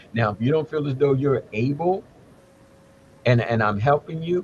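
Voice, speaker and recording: A man talks with lively intonation at a fairly high pitch. His voice is somewhat breathy. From United States. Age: 70s. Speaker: Ifa elder and English professor. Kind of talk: casual chat. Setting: live stream.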